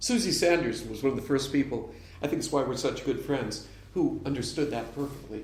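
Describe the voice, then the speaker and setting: Fairly quick male speech, with audible room echo around it. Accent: American. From US, Berkeley, California. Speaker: psychotherapist and jazz drummer. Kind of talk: interview. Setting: podcast interview.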